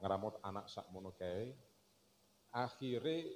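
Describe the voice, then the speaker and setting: Very slow speech in a Javanese accent over light background noise. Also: man. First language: Javanese (speaking Indonesian). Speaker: speaker. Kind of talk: religious lecture and kitab reading. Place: stage. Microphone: handheld.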